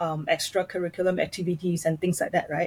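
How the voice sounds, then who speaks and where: A woman's somewhat breathy voice, fairly low in pitch, with monotone, flat intonation. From Malaysia, schooled in Singapore. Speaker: personality coach. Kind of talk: interview conversation. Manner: halting, many fillers.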